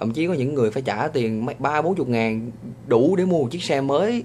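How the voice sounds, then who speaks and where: Speaking with a Vietnamese accent, this man has a medium-pitched voice. His intonation is lively and his pace fairly quick. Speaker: vlogger. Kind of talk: vlog monologue. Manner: hesitant, many fillers.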